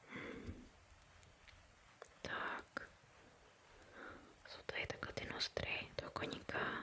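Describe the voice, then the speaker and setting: Whispering at a very slow pace with long, frequent pauses, a woman speaks against noticeable background noise. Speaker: ASMR creator. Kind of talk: ASMR painting video. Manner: whispered.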